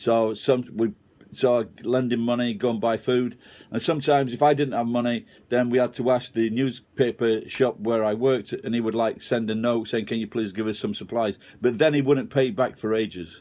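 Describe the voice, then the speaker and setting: In a Sheffield accent, a man speaks at a moderate pace with fairly even intonation and a dark, mellow tone. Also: medium pitch for a man. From Sheffield, England. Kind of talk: casual talk to camera, personal story.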